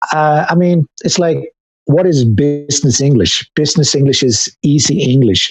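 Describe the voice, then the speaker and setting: Music plays in the background while a man with a fairly high pitch speaks with lively intonation. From Sweden. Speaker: video game composer. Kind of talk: interview. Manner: halting.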